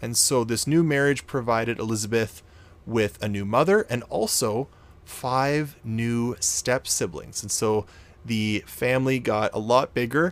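An ordinary speaking voice from a man with a Canadian accent, fairly slow, with ordinary pitch variation. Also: medium pitch for a man. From Canada. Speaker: podcast host. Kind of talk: storytelling narration.

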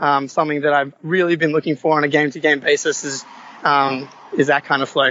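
A man talks at a very fast pace in an Australian accent. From Australia, Sydney. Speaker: caller, sports fan. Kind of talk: casual chat. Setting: video call.

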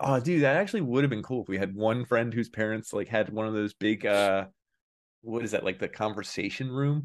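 A man at a fairly quick pace, with ordinary pitch variation and a quiet background. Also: medium pitch for a man. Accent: Philadelphia. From Philadelphia. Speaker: podcast host.

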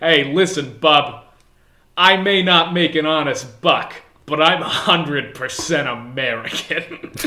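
The voice is a gruff, put-on character. It moves at a very slow pace. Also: man, fairly high pitch for a man. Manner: defensive, gruff.

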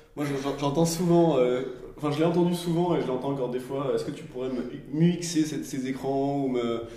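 Audible room echo around a man's fairly high voice with ordinary pitch variation. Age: 30s. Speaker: design and product coach. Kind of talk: casual discussion. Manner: halting.

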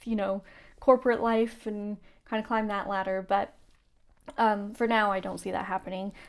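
Speaking at a fairly quick pace, a woman with an unremarkable speaking voice holds a medium pitch with ordinary pitch variation on a very clean recording with a silent background. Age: 30s. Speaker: podcast host and designer. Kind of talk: casual solo chat.

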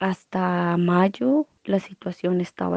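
The sound is dry and close, with no echo, as this woman talks. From Colombia. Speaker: international volunteer. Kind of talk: online interview. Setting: video call.

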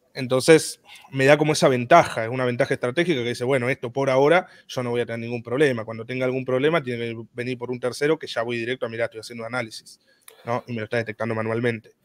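Speaking very fast in a Rioplatense accent, a man keeps a medium pitch and fairly even intonation, with big swings in loudness and a dry, close sound with no echo. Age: 20s. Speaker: content creator. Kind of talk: casual interview. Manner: halting.

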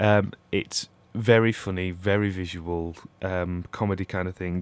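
A man speaks with a very deep, low pitch. His intonation is flat and monotone. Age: 20s. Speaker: theatre marketing staff. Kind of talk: casual radio interview. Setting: radio studio. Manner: hesitant, many ums.

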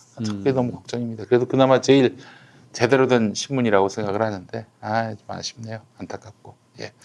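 A man with an unremarkable speaking voice talks at a fairly quick pace and medium pitch, his intonation fairly even while his loudness swings widely. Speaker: talk show host. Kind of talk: casual panel discussion about media and news. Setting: studio.

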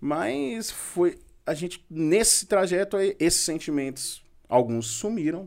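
A man's high-pitched voice at a very slow pace, with very wide pitch swings, on a very clean recording with a silent background. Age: 30s. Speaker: building materials shop owner and father. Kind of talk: casual podcast interview.

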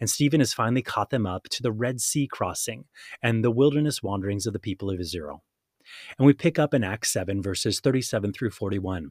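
Very fast and with lively intonation, a man speaks at a medium pitch. The sound is dry and close with no echo, on a very clean recording with a silent background. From Hawaii. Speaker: podcast host, Bible teacher. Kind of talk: scripted Bible teaching narration.

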